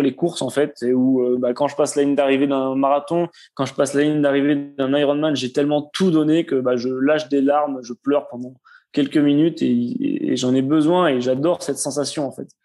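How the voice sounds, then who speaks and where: A man speaks with a slight southwestern French accent, his voice fairly high. His tone is dark and mellow, and his intonation fairly even. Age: 20s. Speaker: marathon runner, soldier, cancer survivor. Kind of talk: podcast interview answer.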